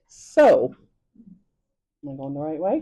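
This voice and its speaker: A woman speaks in an Irish accent with a dark, mellow tone against a quiet background. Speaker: dietitian. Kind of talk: lecture.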